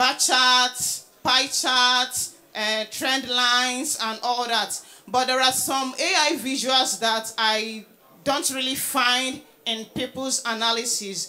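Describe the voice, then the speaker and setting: Her pitch high, a woman talks at a very slow pace with fairly even intonation. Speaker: presenter. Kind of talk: lecture. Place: hall. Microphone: handheld.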